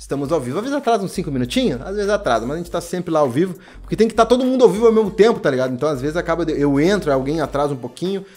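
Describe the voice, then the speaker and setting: This man speaks very fast with hardly any pauses. His pitch is high and swings very widely. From Brazil. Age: 20s. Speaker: barber and YouTube educator; barber youtuber. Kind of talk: casual YouTube Q&A monologue. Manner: animated. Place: home room.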